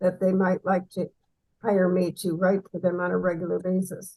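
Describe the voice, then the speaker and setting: Here a woman talks. There is a somewhat breathy sound to her voice. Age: 80s+. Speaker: writer. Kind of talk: interview answer.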